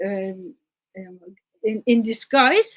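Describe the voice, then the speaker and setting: A woman with a Turkish accent and very wide pitch swings. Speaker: scholar. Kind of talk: interview. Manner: halting.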